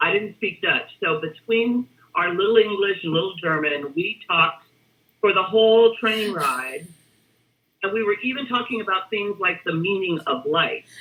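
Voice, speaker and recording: A woman talks at a moderate pace in a medium pitch with ordinary pitch variation. It is an unremarkable speaking voice. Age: 60s. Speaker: retired human resources executive. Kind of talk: interview. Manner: conversational.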